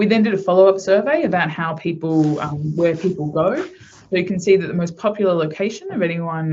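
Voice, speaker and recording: A woman speaks with an Australian accent at a fairly quick pace, somewhat breathy. Her fairly low pitch shows ordinary pitch variation. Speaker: researcher presenting at a webinar. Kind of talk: online presentation. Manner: fast.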